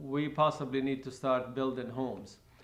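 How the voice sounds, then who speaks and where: A man speaks at a fairly slow pace. Audible room echo fills the recording. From Lebanon, Palestinian refugee camp. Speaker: refugee camp survivor. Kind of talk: oral history interview. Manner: halting, many fillers and repetitions.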